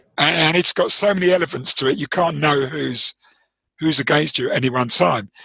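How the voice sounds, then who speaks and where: A man with a London accent, a bright, sharp tone, and vocal fry, at a moderate pace with ordinary pitch variation. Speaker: trading performance coach, former trader. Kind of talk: interview. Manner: hesitant, many fillers.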